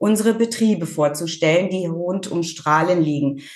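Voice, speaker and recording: Over noticeable background noise, a woman talks at a moderate pace, her pitch fairly low with ordinary variation. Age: 50s. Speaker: farmer and rural women's association chair. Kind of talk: interview.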